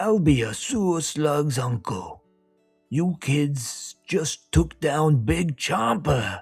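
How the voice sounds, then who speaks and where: Using a put-on character voice at a fairly high pitch, a man speaks at a very slow pace over faint music in the background. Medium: read story. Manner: streetwise, swaggering.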